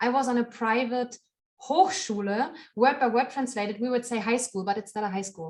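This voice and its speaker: A woman's high pitch with lively intonation at a fairly quick pace, in a German accent. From Germany. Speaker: knitter and podcaster. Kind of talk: interview conversation.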